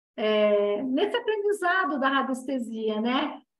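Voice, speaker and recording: Heard with audible room echo, a woman speaks very slowly in a high-pitched voice. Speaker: Reiki and dowsing teacher. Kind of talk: online class lecture.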